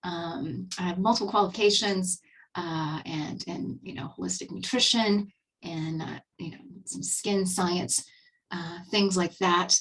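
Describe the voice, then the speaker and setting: Her voice sits at a fairly low pitch with vocal fry. The woman speaks at a fairly slow pace. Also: fairly even intonation, big swings in loudness. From Texas. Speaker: skincare advisor. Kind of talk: webinar presentation. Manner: casual, filler-heavy.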